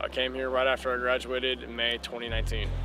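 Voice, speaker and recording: There is noticeable background noise as a man with an American accent speaks at a medium pitch. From US South, Tennessee (Oak Ridge, near Knoxville). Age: 20s. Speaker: American football player. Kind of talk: casual self-introduction vlog. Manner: hesitant, many fillers.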